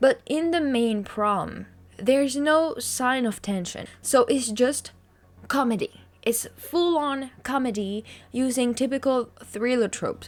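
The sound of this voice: Her pitch is high, with ordinary variation. The woman speaks at a slow pace.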